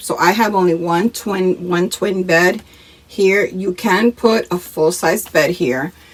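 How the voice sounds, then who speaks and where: Noticeable background noise surrounds a woman whose pitch varies in an ordinary way. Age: 50s. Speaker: RV vlogger. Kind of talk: casual talk to camera.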